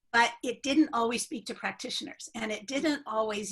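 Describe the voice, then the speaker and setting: Here is an ordinary speaking voice. A woman speaks at a fairly high pitch and moderate pace, with ordinary pitch variation. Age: 60s. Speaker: journal editor and retired professor of health education. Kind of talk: interview.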